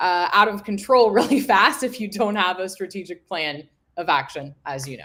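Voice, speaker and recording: A woman's unremarkable speaking voice, medium in pitch, with lively intonation, a moderate pace and big swings in loudness. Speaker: marketing agency founder and LinkedIn trainer. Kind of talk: live webinar interview. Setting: live stream video call.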